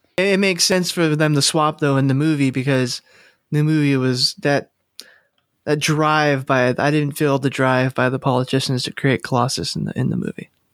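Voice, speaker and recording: Delivered in a plain, everyday voice, the speech has ordinary pitch variation and a moderate pace. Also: man, fairly high pitch for a man. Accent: American. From California. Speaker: podcast host. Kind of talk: casual chat.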